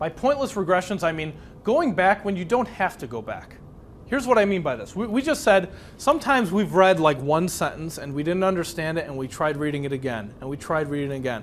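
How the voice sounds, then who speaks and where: A man with a high voice talks at a fairly quick pace, his pitch swinging very widely and his loudness rising and falling sharply, with audible echo from the room. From US Midwest, Chicago south side (Polish neighborhood). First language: Polish. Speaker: speed reading instructor. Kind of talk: workshop lecture. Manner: conversational, engaging.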